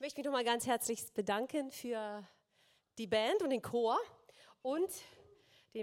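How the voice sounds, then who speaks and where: A woman speaks with a fairly high pitch and ordinary pitch variation. Her pace is moderate. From eastern Germany (former GDR). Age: 50s. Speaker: singer giving testimony. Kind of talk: testimony. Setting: stage with audience.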